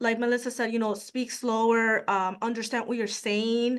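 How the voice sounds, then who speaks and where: A woman speaks with a high pitch. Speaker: credit union professional, panelist. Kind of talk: panel webinar discussion.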